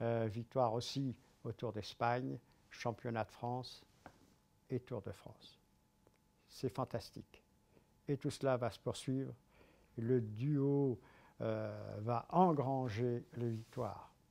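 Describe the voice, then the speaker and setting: A man's dark, mellow voice at a very slow pace, fairly even in intonation, with long, frequent pauses. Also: medium pitch for a man, big swings in loudness. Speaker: veteran sports commentator. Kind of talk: sports history storytelling to camera.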